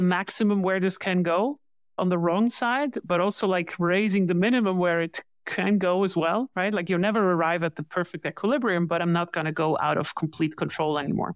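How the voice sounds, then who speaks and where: This woman has an unremarkable speaking voice at medium pitch with ordinary pitch variation, talking at a fairly quick pace in a very clean recording with a silent background and a dry, close sound with no echo. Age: 40s. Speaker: growth advisor for tech companies. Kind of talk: interview.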